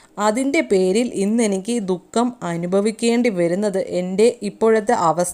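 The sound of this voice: The text is read in an unforced reading voice. Pitch shifts are ordinary.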